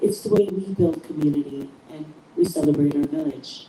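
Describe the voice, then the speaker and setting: A soft-spoken woman talks with fairly low pitch and ordinary pitch variation. Noticeable background noise is present. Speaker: podcast host. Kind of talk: podcast introduction. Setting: live stream.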